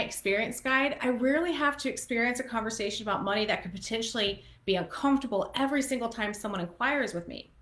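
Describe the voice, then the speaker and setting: Audible room echo surrounds a woman speaking at a fairly quick pace, her high voice showing ordinary pitch variation. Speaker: photographer and educator; small business coach. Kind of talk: live-stream business tutorial. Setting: live stream. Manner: fast. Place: home room. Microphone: webcam.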